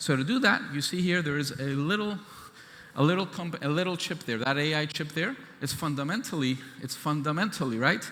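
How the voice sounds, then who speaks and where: Speaking at a fairly quick pace, a man has a fairly high pitch, a bright, sharp tone and ordinary pitch variation. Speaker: government chief scientist. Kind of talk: keynote speech. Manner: fast.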